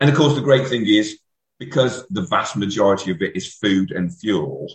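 At a fairly quick pace, a man with an unremarkable speaking voice talks in a fairly low pitch with ordinary pitch variation. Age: 40s. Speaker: amateur ultrarunner. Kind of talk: casual chat.

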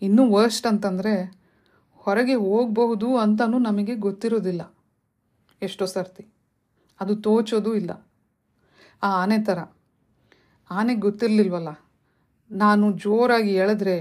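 At medium pitch, a woman with a normal speaking voice talks with fairly even intonation. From India, Karnataka (Shivamogga). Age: 40s. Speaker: podcast host. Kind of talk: motivational talk.

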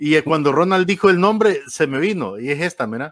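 Lively intonation at a fairly quick pace. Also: man. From Honduras. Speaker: radio host. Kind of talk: interview.

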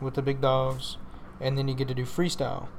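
A fairly high-pitched man with a Texan accent, with audible room echo. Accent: Texas country. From Northeast Texas (Paris area). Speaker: monster truck driver. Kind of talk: casual interview.

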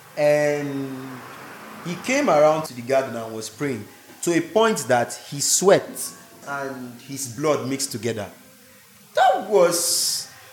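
A man's fairly high voice with lively intonation, big swings in loudness, a very slow pace and long, frequent pauses, plus audible room echo and noticeable background noise. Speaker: pastor's kid. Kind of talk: casual chat.

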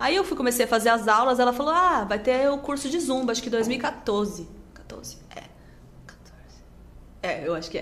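A woman with a high voice and lively intonation talks at a moderate pace, with long, frequent pauses and noticeable background noise. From Rondônia, Brazil (born in Rio Grande do Sul, moved at 7). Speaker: social media influencer and dance instructor. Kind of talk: casual chat.

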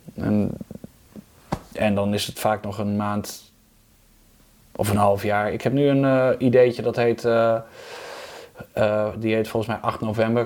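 Fairly low in pitch, a man speaks at a fairly slow pace in a monotone, flat intonation, with long, frequent pauses. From Netherlands, Overijssel. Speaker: musician and singing teacher. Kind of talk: casual chat. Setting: at his home.

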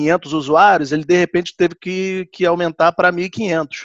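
Over a quiet background, a man with a high pitch speaks at a fairly quick pace with fairly even intonation. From Rio de Janeiro, Brazil. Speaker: IT analyst. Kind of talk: casual group discussion.

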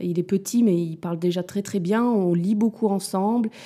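On a very clean recording with a silent background, a woman speaks in a dark, mellow tone with ordinary pitch variation. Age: 30s. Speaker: mother of two. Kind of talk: casual chat. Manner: halting.

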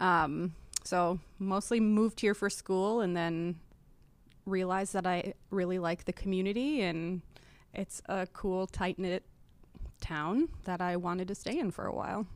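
On a very clean recording with a silent background, a woman speaks with an Upper Midwest accent and fairly even intonation. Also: medium pitch for a woman, fairly slow pace. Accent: Upper Midwest American. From Wisconsin, Appleton. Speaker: board member and co-op outreach coordinator. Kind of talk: casual interview chat.

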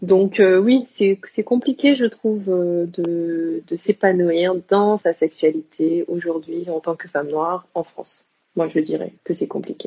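Very slow speech from a woman at medium pitch, with ordinary pitch variation. Her loudness swings widely. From Senegal (Dakar). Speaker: psychologist and sexologist. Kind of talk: interview. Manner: halting.

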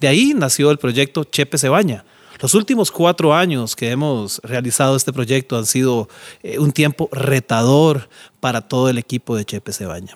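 A man with a Costa Rican accent speaks at a moderate pace and a medium pitch, his intonation lively. The sound is dry and close, with no echo. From Costa Rica, San José (Pavas). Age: 50s. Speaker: charity founder. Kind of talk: monologue.

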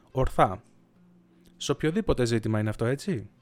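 A man speaks at a moderate pace. His pitch is medium. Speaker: podcaster. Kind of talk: unscripted solo monologue. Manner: long thinking pauses.

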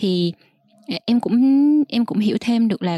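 Speaking at a very fast pace, a woman has a dark, mellow tone and ordinary pitch variation. The sound is dry and close, with no echo. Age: young. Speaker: podcast host. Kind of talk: interview.

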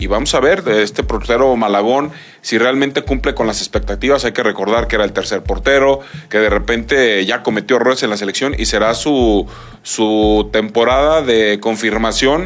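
A man's normal speaking voice at a medium pitch and moderate pace, with ordinary pitch variation. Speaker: sports commentator. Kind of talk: sports talk show.

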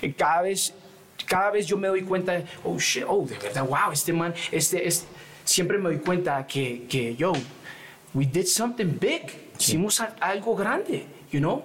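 Background music behind a man's high-pitched voice, fairly slow in pace, with lively intonation. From New York and Colombia. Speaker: rapper. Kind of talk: casual chat.

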